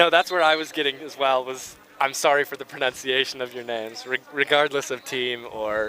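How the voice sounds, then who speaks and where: Against noticeable background noise, a man with an American accent talks at a fairly quick pace and medium pitch, with big swings in loudness. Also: fairly even intonation. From United States. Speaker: sports commentator. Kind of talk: live commentary.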